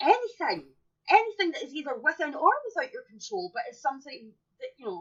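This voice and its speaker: In an English accent, a woman talks at a fairly quick pace in an extremely high pitch, with very wide pitch swings and big swings in loudness. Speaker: podcast co-host. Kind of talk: casual chat. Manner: animated.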